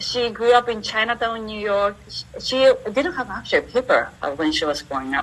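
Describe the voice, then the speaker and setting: Amid noticeable background noise, a woman with a Japanese accent and fairly high pitch speaks at a moderate pace with very wide pitch swings. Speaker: entrepreneur and university teacher. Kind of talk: interview.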